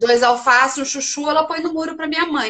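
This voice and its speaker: A woman's voice with fairly even intonation. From Brazil, small inland town. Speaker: journalist and video coach. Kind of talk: casual chat.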